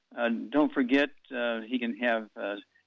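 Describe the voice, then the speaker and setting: Over background music, a man speaks fairly slowly with fairly even intonation. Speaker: alternative health radio host. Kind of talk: radio show answering callers' health questions.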